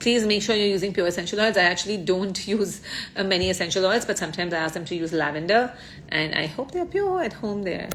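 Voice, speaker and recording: The speech moves at a very fast pace with ordinary pitch variation. Noticeable background noise is present. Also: woman, medium pitch for a woman. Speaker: ayurveda influencer. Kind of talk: live Q&A.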